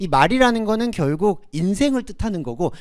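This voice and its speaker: The speaker is a man with a high-pitched voice. Behind him is total silence on a very clean recording. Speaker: preacher. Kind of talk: sermon. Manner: halting over Greek words.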